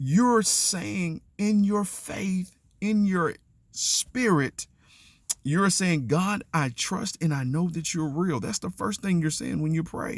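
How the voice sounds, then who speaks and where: Loud and high-pitched, a man speaks at a fairly slow pace with lively intonation. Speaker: faith and relationships vlogger. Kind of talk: motivational monologue. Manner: halting.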